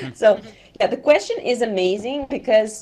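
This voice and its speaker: A woman speaks at a moderate pace with lively intonation. There is noticeable background noise. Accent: non-native. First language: not English. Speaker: event organizer. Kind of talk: group discussion.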